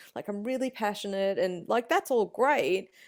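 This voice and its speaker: Lively intonation from a woman with an Australian accent. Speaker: meat smoking and BBQ expert. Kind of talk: podcast interview answer. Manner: casual, conversational.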